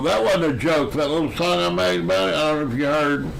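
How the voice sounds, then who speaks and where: Through noticeable background noise and audible room echo, a man speaks with very wide pitch swings. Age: 70s. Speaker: musician and live streamer. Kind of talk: casual chat.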